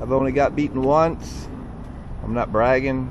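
A man with a medium-pitched voice talks over noticeable background noise, the sound dry with no echo. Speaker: car enthusiast youtuber. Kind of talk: casual vlog narration. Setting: in a car. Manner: loud, raised voice over road noise. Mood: casual, slightly boastful. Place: street. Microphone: phone near.

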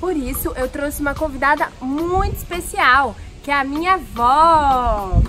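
A woman speaks in a high pitch with ordinary pitch variation, her voice raised and projected. Clear music plays in the background. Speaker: presenter. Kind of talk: casual talk to camera. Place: garden.

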